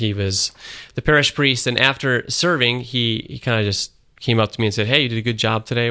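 A man with an American accent speaks in an ordinary speaking voice at a medium pitch, his intonation fairly even and his pace fairly quick. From Syracuse, upstate New York. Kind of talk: interview on radio.

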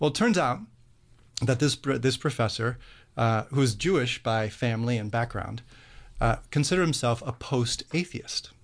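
With an American accent, a man speaks in a somewhat breathy voice at very even loudness over a quiet background. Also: medium pitch for a man, ordinary pitch variation, moderate pace. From US Midwest, Cleveland. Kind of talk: radio interview.

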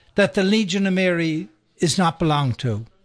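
A man's high-pitched voice with an Irish accent, lively intonation and a fairly slow pace, over a quiet background. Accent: Irish brogue. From Ireland, County Sligo. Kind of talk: radio interview. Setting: radio studio.

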